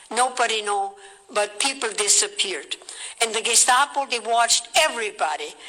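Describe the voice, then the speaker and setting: A woman with a fairly high pitch speaks at a moderate pace with lively intonation. Noticeable background noise runs underneath. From Austria. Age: 80s+. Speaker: war survivor. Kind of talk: speech to an audience.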